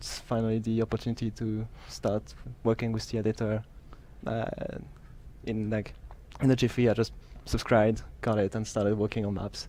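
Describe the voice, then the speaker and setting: A man speaks at a moderate pace and medium pitch in a dark, mellow tone, his intonation monotone and flat, with long, frequent pauses. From Switzerland. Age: 20s. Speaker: game level designer. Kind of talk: interview. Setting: studio, sitting on a couch.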